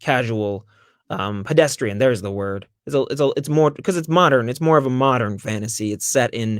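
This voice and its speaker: An ordinary speaking voice from a man with an American accent, at medium pitch, with ordinary pitch variation and a fairly quick pace. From United States. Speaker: audiobook narrator and actor. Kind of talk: interview answer. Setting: online video call.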